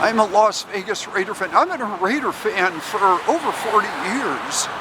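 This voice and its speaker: Over noticeable background noise, a man with a high pitch talks at a fairly slow pace with lively intonation. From Southern California. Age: 60s. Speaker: travel vlogger. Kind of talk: casual vlog monologue. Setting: outdoors, walking. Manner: halting, with fillers.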